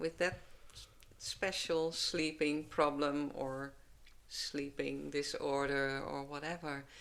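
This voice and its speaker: A woman speaks very slowly with a Dutch accent. Her pitch is very deep and low, and her intonation is monotone and flat. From Netherlands. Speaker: herbalist. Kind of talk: podcast interview answer.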